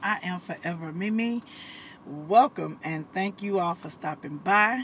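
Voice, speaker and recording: Recorded dry with no echo and light background noise, a woman speaks with ordinary pitch variation. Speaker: vlogger. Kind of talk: casual vlog chat. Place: car.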